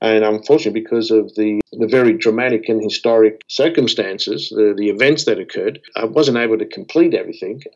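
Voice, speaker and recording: A man with an Australian accent talks very fast at a medium pitch, his pitch varying in an ordinary way. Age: 50s. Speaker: radio telescope operations scientist. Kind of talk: interview. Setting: video call.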